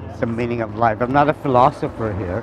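A man's voice comes through dry with no echo, over light background noise. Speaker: interviewee. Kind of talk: interview answer. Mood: joking, relaxed. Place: street. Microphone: phone near.

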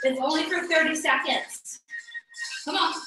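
A woman's raised, projected voice at a fairly slow pace, with audible room echo and faint music in the background. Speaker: fitness instructor. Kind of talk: workout class instruction. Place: home room. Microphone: camera far.

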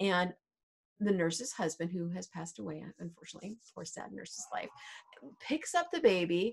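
With vocal fry and a slightly husky edge, a woman speaks at a moderate pace, her pitch fairly low and its variation ordinary.

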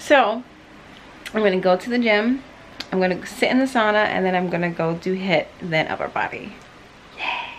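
Against light background noise, a woman speaks at a moderate pace with ordinary pitch variation. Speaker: fitness vlogger. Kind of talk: casual vlog chat. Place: home room. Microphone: phone near.

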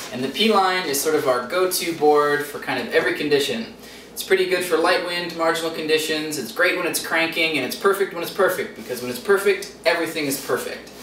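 The speaker moves at a fairly quick pace with ordinary pitch variation. Audible room echo and light background noise are present. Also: man, high pitch for a man. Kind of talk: product review. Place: studio.

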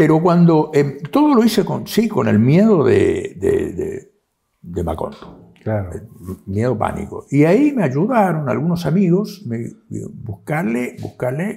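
Against a quiet background, the speech moves at a very slow pace with long, frequent pauses. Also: man. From Argentina, Corrientes province. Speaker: writer; interviewee. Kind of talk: interview. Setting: historic house, university seat. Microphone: lapel.

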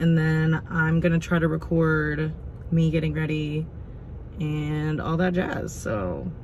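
A woman speaks at a very slow pace in a very deep, low voice. Her delivery is monotone and flat over light background noise. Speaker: vlogger. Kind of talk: casual vlog chat. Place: car. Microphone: phone near.

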